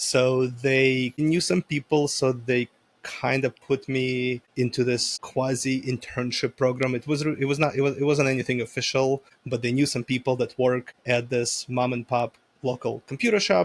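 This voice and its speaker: A man is speaking at a moderate pace. His pitch is medium. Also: dry, close sound with no echo. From former Soviet Union, moved to US at 13. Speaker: IT company owner. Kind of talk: interview. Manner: casual, animated.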